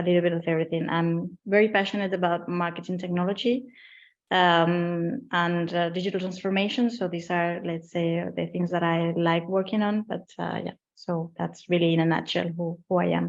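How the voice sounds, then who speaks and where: With a Spanish accent, a woman talks at a moderate pace in a fairly low pitch with fairly even intonation over a quiet background. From Spain. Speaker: marketing executive. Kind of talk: webinar interview.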